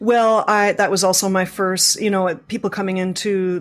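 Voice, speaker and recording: A woman with an unremarkable speaking voice talks at a moderate pace. Her intonation is fairly even, and the recording is very clean with a silent background. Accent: Canadian. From Canada, Scarborough (Toronto). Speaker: visual artist. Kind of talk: interview.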